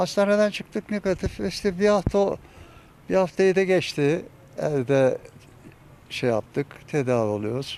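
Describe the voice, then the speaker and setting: The speaker moves at a fairly slow pace, leaving long, frequent pauses, with very wide pitch swings. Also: man, high pitch for a man. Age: 70s. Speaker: neighbourhood headman. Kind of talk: interview answer.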